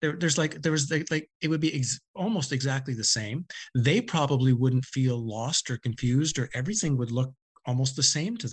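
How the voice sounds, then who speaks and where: Against a quiet background, a man with a medium pitch and ordinary pitch variation talks at a fairly quick pace in a somewhat breathy voice. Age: 50s. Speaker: author. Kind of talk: interview.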